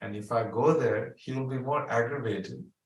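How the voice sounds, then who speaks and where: With audible room echo, a somewhat breathy man talks at a moderate pace. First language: not English. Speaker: spiritual teacher. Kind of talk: spiritual talk, storytelling. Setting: video call.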